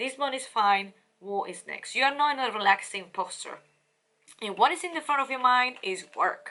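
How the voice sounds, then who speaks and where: A woman speaks at a fairly quick pace. Her pitch shows ordinary variation. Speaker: tarot reader and life coach. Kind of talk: tarot reading monologue. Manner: fast.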